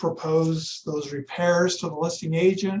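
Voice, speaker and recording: A man's fairly high voice with fairly even intonation. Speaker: real estate trainer. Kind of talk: lecture. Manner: soft and calm; rarely yells, low-key.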